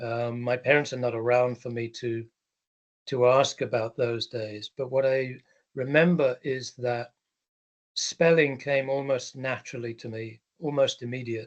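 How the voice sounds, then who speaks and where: This man talks at a fairly slow pace with an English accent, his medium-pitched voice delivered in a flat monotone. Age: 60s. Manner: hesitant, many ums.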